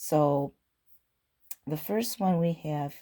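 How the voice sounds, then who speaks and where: A woman talks with a very deep, low pitch. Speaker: candle reviewer. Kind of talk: product haul review. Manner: casual, with fillers.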